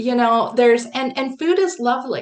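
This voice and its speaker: Her pitch high, a woman speaks with lively intonation. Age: 60s. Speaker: holistic wellness coach. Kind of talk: live interview. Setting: livestream.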